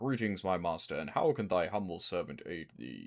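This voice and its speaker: Using a put-on character voice, the man drops to a very deep, low pitch. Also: moderate pace, very clean recording, silent background. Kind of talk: archaic, formal. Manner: oddly disturbing, humorous.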